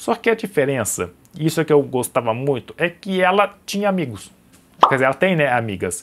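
Very wide pitch swings run through a man's speech at a fairly high pitch. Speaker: YouTuber. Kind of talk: personal vlog. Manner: halting.

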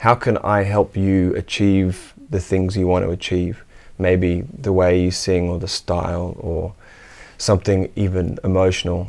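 A man with an Australian accent, very deep and low in pitch, at a fairly slow pace with fairly even intonation. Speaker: musician and music teacher. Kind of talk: interview. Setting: home studio. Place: studio. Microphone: lapel.

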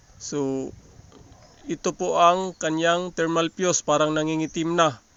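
In a dry recording with no echo, a man with a fairly high pitch speaks with fairly even intonation. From Philippines. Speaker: appliance repair vlogger. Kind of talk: tutorial. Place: workshop. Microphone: phone near.

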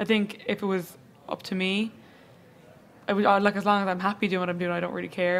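A woman with an Irish accent at a medium pitch, talking very fast with fairly even intonation over light background noise. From Ireland. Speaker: fashion blogger. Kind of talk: casual chat. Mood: relaxed, friendly. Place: studio. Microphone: studio mic.

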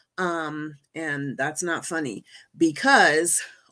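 A woman's voice has a bright, sharp tone against a quiet background. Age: 50s. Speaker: medical doctor and patient advocate. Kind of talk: presentation. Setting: video call. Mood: earnest personal story. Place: home room.

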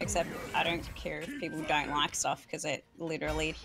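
A woman speaks at a fairly quick pace. Music plays in the background. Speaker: guest streamer.

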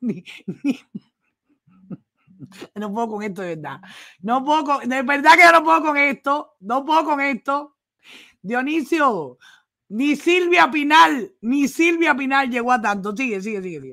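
In a Cuban accent, a woman speaks fairly slowly with long, frequent pauses, using a raised, projected, bright and sharp high voice that has very wide pitch swings and big swings in loudness. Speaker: news commentator. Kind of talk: casual live-stream commentary. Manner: exasperated, mocking.

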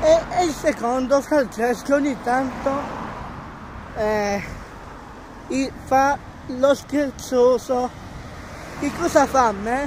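Speaking very slowly with long, frequent pauses, a man with an extremely high pitch and ordinary pitch variation comes through a dry sound with no echo and noticeable background noise. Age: 20s. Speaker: vlogger. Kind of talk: casual vlog; casual vlog chat. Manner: halting, many repetitions. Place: street. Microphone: phone near.

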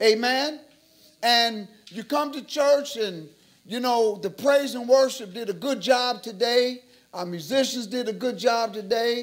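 Very slowly, a man speaks at an extremely high pitch. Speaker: church teacher. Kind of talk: sermon. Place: church.

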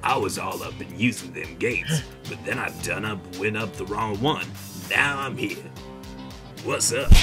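Over loud background music, a man uses a put-on character voice at a moderate pace. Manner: slow, relaxed, drawling.

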